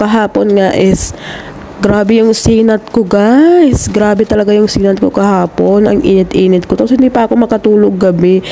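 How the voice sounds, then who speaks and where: At a moderate pace, a woman speaks at a medium pitch over noticeable background noise. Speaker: overseas domestic worker vlogger. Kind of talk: casual vlog.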